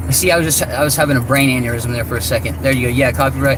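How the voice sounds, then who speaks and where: Very rapid speech comes from a man, with audible echo off the room walls and noticeable noise behind. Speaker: vlogger. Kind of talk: casual chat. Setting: in a car. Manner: halting.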